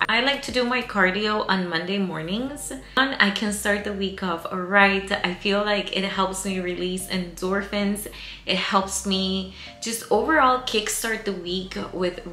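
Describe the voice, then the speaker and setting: A woman at a fairly slow pace with ordinary pitch variation, audible room echo and faint music in the background. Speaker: fitness vlogger. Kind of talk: casual vlog chat. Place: home room.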